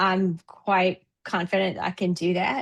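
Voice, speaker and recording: The woman talks at a very slow pace with monotone, flat intonation. The sound is dry and close, with no echo. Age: 60s. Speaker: coaching client. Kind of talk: testimonial interview. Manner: halting, many fillers.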